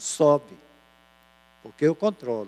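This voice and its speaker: A man talks at a fairly slow pace, with a fairly high pitch and a dark, mellow tone. The sound is dry and close, with no echo. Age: 70s. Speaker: church member giving testimony. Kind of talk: testimony.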